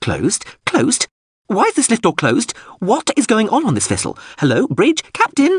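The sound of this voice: A man puts on a character voice pitched high for a man, with very wide pitch swings, a slightly husky edge, a moderate pace and a dry, close sound with no echo.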